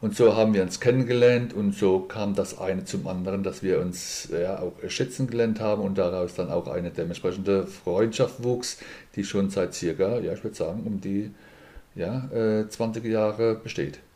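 A man talks in an ordinary speaking voice, keeping a moderate pace and fairly even intonation. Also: fairly low pitch for a man. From Mannheim, Germany. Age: 50s. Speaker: insurance broker and boxing event organizer. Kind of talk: casual interview.

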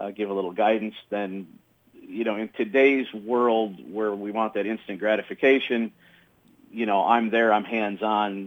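A man speaks fairly slowly in a normal speaking voice. His pitch is fairly low and his intonation fairly even. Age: 50s. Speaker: comedy magician. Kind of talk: radio interview. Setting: phone call.

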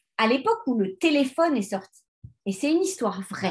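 A woman's voice shows very wide pitch swings. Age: 40s. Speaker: life coach and podcast host. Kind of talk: solo self-help podcast monologue. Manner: hesitant, many fillers.

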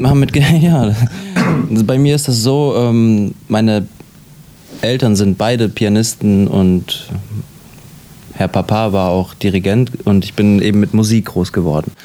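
The speech moves at a fairly slow pace, broken by long, frequent pauses. Noticeable background noise sits behind it. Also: man, fairly low pitch for a man, ordinary pitch variation. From Germany, Latvian family. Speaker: actor. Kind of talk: interview. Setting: hotel. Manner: halting, with fillers.

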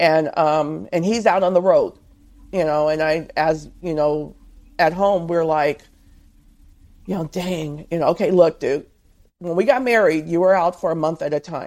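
A woman talks in a plain, everyday voice at a fairly low pitch. Her pace is moderate and her pitch variation ordinary. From Southern California. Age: 50s. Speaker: author and truck driver's wife. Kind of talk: interview.

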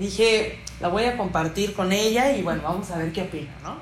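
A woman talks at a moderate pace. Audible room echo and noticeable background noise accompany her voice. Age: 20s. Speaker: podcast host. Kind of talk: casual interview. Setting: studio, also live on Instagram.

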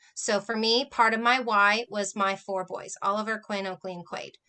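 A bright, sharp tone at a moderate pace over a quiet background. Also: woman. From Southern California. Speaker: author. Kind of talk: interview. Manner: energetic, animated.

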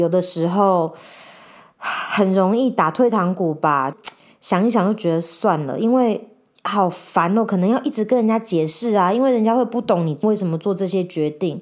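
The delivery is animated, at a moderate pace with ordinary pitch variation. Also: woman, medium pitch for a woman. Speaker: podcast host. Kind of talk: casual monologue. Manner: hesitant, searching for words; animated, frequent laughter.

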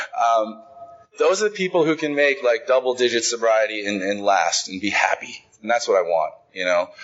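In an American accent, a man with a medium pitch speaks against noticeable background noise. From Idaho, Boise. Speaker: speaker at recovery conference. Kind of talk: recovery testimony talk.

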